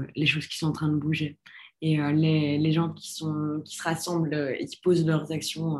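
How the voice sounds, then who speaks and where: Very deep and low, this woman's voice carries her words. She talks at a very slow pace. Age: 20s. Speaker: young activist. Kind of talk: interview testimony.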